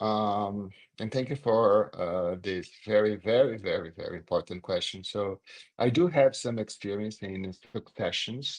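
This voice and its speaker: A man with a Brazilian accent speaks at a moderate pace and a fairly low pitch. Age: 60s. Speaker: corporate communications executive. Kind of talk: interview.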